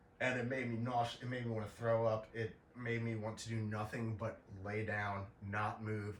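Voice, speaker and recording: A fairly low-pitched man at a moderate pace in a monotone, flat intonation, with audible room echo and noticeable background noise. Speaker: podcaster sharing illness experience. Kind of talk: informal explainer monologue. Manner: halting, many fillers and repetitions; casual.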